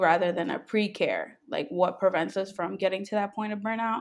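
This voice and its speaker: In an unremarkable speaking voice, the speaker keeps a moderate pace and fairly even intonation. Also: woman. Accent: American. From New York, Jamaican family. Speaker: software engineer. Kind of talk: casual chat.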